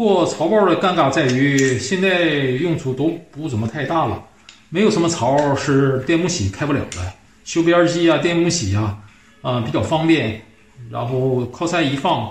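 At a fairly slow pace, a man talks amid light background noise and audible room echo. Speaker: woodworker reviewing old tools. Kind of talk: casual commentary. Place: workshop. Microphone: phone near.

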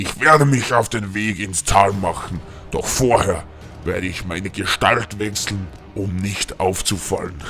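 A put-on character voice comes at a moderate pace over clear music in the background. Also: man, fairly low pitch for a man. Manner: scornful, menacing.

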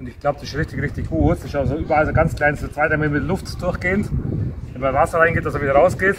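Over faint background noise, a man talks at a very fast pace with a fairly high pitch, a fairly bright tone, and fairly even intonation.

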